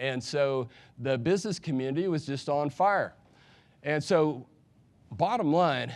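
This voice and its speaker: Long, frequent pauses break up fairly slow speech with ordinary pitch variation, captured in a very clean recording with a silent background. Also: man, fairly high pitch for a man. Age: 60s. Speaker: economist. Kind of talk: conference talk. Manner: animated.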